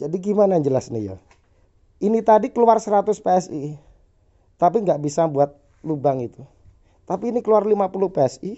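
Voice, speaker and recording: A man's high-pitched voice with an East Javanese accent, lively intonation, a fairly quick pace, and long, frequent pauses. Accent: Javanese (East Java) Indonesian. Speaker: airgun workshop owner reviewing products. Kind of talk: casual product test demo.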